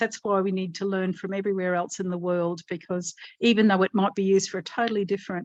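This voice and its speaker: Against a quiet background, a woman with an Australian accent speaks at a medium pitch in a dry, close sound with no echo. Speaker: disaster recovery speaker. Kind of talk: panel discussion.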